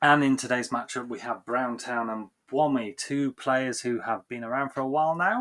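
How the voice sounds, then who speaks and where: This man has a strong Yorkshire accent and fairly even intonation. He speaks with hardly any pauses. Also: medium pitch for a man, moderate pace. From Yorkshire, northern England. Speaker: game commentator. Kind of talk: live commentary; casual chat.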